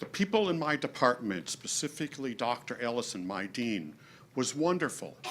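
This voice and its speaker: A loud man at a moderate pace, his pitch swinging very widely. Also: medium pitch for a man. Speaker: adjunct instructor. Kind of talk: audience question.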